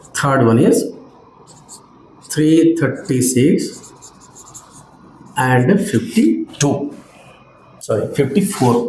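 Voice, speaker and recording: Over audible room echo, a man talks very slowly at a fairly high pitch with very wide pitch swings. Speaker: maths teacher. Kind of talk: lecture. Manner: slow, step-by-step.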